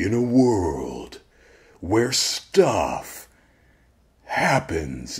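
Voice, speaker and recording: A man uses a booming, put-on character voice. His pitch is fairly low and swings very widely. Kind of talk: dramatic trailer voiceover.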